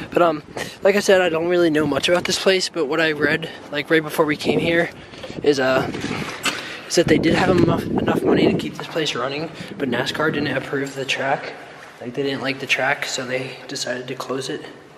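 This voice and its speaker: Over noticeable background noise, a man speaks at a fairly quick pace with fairly even intonation. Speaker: urban explorer vlogger. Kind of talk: casual vlog chat. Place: open country. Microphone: phone near.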